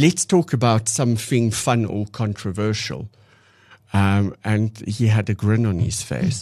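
In an unremarkable speaking voice, a man of medium pitch talks at a fairly slow pace. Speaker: doctor and podcast host. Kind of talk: casual chat. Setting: studio.

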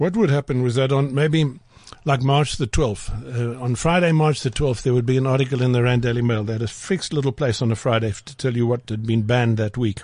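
Speaking very fast, a man uses a medium pitch. His voice is somewhat breathy. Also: ordinary pitch variation. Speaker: writer and journalist. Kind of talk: casual studio interview.

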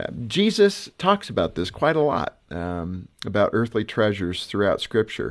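An ordinary speaking voice, with lively intonation, hardly any pauses and a moderate pace, over a quiet background. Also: man, fairly low pitch for a man. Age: 50s. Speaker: radio host. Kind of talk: interview.

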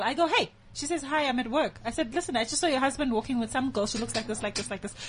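Noticeable background noise sits behind a woman with a high pitch. She talks at a very fast pace with lively intonation. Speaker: friend guest on show. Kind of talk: casual chat. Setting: studio. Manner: quiet, reserved.

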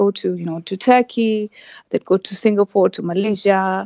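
In a Kenyan coastal accent, a woman speaks at a moderate pace and medium pitch with fairly even intonation. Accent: Kenyan coastal (Swahili) English. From Kenya, Lamu coast. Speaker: travel business founder. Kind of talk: radio interview. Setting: phone line. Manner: halting, many fillers.

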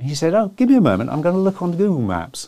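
A man with a British accent, very fast, in a dark, mellow tone with very wide pitch swings, on a very clean recording with a silent background. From England. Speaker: telecoms analyst and author. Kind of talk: interview. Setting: studio.

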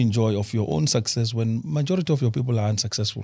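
A man talks at a very fast pace with medium pitch and a somewhat breathy, dark, mellow tone. The recording is very clean, with a silent background. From South Africa, Limpopo. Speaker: energy expert, former investment banker. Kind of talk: studio talk show interview. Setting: studio.

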